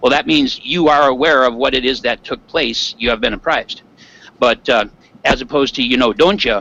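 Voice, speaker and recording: Using a bright, sharp tone, a man with an American accent speaks at a fairly quick pace, his medium pitch showing ordinary variation. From Michigan Upper Peninsula. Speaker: Minecraft server player, YouTuber. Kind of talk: casual interview chat.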